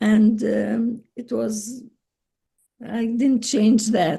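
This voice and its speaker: A very slow woman's voice, fairly high-pitched, with vocal fry. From Palestine, Jerusalem and Bethlehem. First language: Arabic. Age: 80s+. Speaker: retired teacher and memoir author. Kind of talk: interview. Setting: video call.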